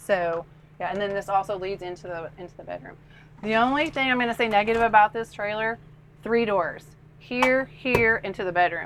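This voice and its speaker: A woman with an unremarkable speaking voice talks at a fairly quick pace and fairly high pitch, with ordinary pitch variation and big swings in loudness. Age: 60s. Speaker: RV owner giving camper tour. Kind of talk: casual interview on a home tour. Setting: inside and outside an RV at a lake.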